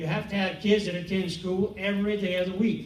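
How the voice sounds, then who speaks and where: Noticeable background noise and audible room echo surround a man with an American accent and a high pitch. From Louisiana, Cajun country (Eunice). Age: 70s. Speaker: school board candidate, city councilman, military veteran. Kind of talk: candidate forum answer. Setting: public forum on a college campus with audience. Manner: halting, with repetitions and fillers.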